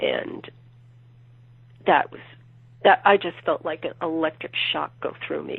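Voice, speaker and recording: A woman speaks at a fairly slow pace, her loudness swinging widely, with long, frequent pauses. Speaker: true crime author. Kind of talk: interview answer.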